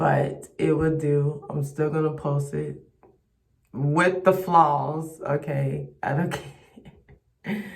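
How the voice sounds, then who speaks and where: The speaker pauses often and at length. Delivery is very slow. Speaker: religious vlogger. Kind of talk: devotional talk with scripture reading. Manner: mumbling; halting.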